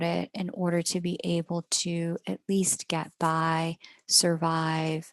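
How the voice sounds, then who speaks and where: A woman with an American accent, recorded dry and close with no echo against a quiet background. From United States. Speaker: astrologer. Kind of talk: astrology reading monologue. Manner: casual, self-correcting.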